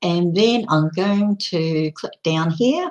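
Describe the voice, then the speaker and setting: Her pitch fairly low, a woman with an Australian accent speaks at a very slow pace with lively intonation. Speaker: online community promoter. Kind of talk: live stream presentation. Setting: live video broadcast. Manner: gets loud and passionate.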